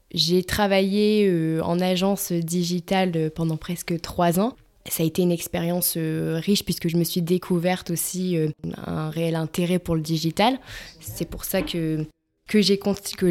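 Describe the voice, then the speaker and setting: A woman with a fairly low pitch speaks at a fairly slow pace with fairly even intonation. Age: 20s. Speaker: digital project manager and co-founder. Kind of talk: interview. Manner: halting, many repetitions and fillers.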